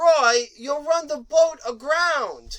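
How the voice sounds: A woman's high-pitched, cartoonish character voice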